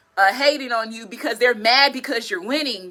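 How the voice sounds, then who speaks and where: A woman's raised, projected voice with an animated tone. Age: 40s. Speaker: tarot reader. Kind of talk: tarot reading livestream. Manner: stutters at times.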